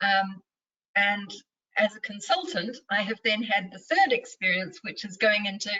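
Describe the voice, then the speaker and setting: The voice carries a New Zealand accent. The pace is fairly slow. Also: woman. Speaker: mindfulness and leadership coach. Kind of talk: interview.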